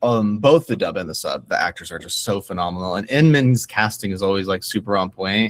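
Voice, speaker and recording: Speaking at a fairly quick pace with hardly any pauses, a man with a fairly low pitch and ordinary pitch variation is heard on a very clean recording with a silent background. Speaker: voice actor. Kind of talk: interview. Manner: hesitant, many fillers.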